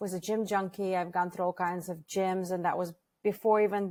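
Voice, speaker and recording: With a slight Russian accent, a woman speaks at a moderate pace in a medium pitch, her intonation fairly even. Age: 40s. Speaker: franchise founder. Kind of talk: podcast interview.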